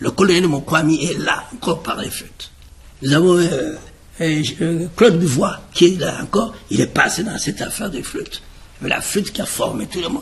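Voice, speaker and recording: A man at a high pitch, lively in intonation, at a moderate pace over noticeable background noise. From Republic of the Congo, Brazzaville. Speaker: choreographer and musician. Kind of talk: interview. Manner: halting.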